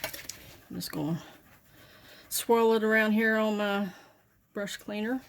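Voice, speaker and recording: In a strong Southern US accent, a woman talks at a very slow pace with a fairly high pitch and long, frequent pauses. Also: fairly even intonation. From Southern United States. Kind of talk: makeup tutorial talk to camera. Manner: casual, chatty.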